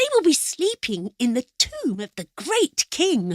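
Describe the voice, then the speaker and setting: A put-on character voice at a fairly slow pace. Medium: read story.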